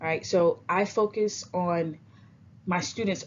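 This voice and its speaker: A woman speaks with an American accent and lively intonation. Vocal fry runs through her voice. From US South, Alabama. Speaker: teacher. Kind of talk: recorded presentation. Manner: casual, frequent fillers.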